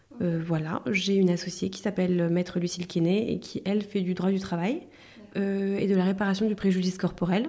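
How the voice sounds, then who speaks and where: At a moderate pace, a woman speaks with a medium pitch, fairly even intonation and a dark, mellow tone. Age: 30s. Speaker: lawyer. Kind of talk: expert interview. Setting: office.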